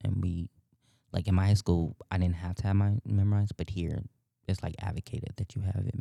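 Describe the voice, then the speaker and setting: A soft-spoken man with a very deep, low pitch, a moderate pace and fairly even intonation. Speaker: theater student. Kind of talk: casual interview. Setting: on campus.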